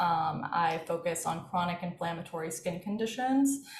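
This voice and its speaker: Speaking at a fairly slow pace with an American accent and ordinary pitch variation, this voice comes through noticeable background noise and audible room echo. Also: woman. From US, Washington DC area. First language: Farsi. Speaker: dermatologist and health tech co-founder. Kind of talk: interview.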